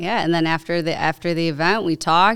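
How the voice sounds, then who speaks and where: A woman speaks at a fairly quick pace with an American accent. The recording is very clean, with a silent background. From Chicago area, US (Cicero). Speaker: tech startup founder and lawyer. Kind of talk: casual interview chat. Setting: podcast studio.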